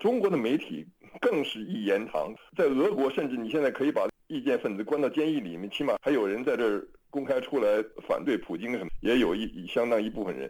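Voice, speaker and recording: Using vocal fry, a man of medium pitch talks at a fairly quick pace with very wide pitch swings. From China. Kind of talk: radio interview.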